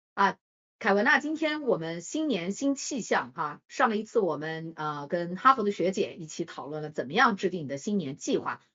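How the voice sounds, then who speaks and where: At a medium pitch, a woman's voice swings very widely in pitch. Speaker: podcast co-host. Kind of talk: casual chat.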